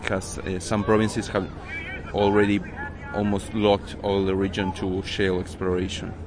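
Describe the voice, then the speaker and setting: A man speaks with a Spanish accent in a monotone, flat intonation at a fairly low pitch. Noticeable background noise is present. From Argentina. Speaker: environmental activist. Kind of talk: interview. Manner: halting.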